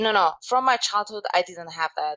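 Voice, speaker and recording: The speaker has a Slovak accent and keeps a moderate pace. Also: woman. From Slovakia. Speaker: life coach and motivational speaker. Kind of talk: interview. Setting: podcast.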